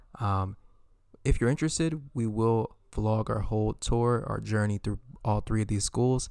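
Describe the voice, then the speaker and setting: In an ordinary speaking voice, a man with an American accent and medium pitch talks at a moderate pace with fairly even intonation, captured on a very clean recording with a silent background. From Eritrean family, US-raised. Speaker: podcast co-host. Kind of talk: casual chat.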